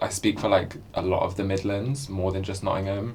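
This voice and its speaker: A man with a London accent speaks at a fairly low pitch. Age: 20s. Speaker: drag performer. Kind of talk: documentary interview. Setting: pub.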